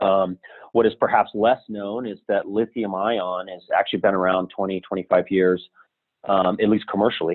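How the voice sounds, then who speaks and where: A man with an American accent speaks at a moderate pace in a fairly low pitch, his intonation flat and monotone. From US Southwest, Albuquerque, New Mexico. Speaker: entrepreneur, company founder. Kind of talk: interview.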